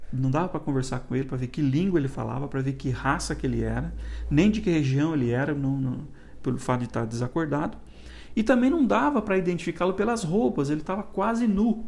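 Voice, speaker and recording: A man with a fairly high pitch talks at a fairly quick pace, his somewhat breathy voice swinging very widely in pitch amid audible room echo. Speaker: church elder teaching Sunday school. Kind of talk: Bible study lecture. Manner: halting, with frequent restarts and fillers.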